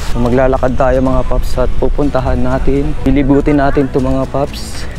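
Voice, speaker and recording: A man is talking in a room with audible echo. Music plays in the background. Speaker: motorcycle travel vlogger. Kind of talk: vlog narration. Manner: animated.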